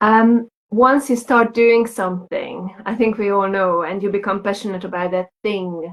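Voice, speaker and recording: A woman with a Hungarian accent, medium pitch, fairly even intonation and a fairly slow pace. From Hungary. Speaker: lactation consultant. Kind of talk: casual chat.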